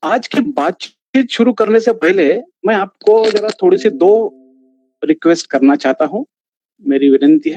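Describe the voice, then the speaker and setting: A man with a Marathi accent speaks at a high pitch in a dark, mellow tone, making very wide pitch swings. The sound is dry and close with no echo. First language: Marathi (speaking Hindi). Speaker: ayurvedic physician, lecturer. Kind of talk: online lecture. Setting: live online video session.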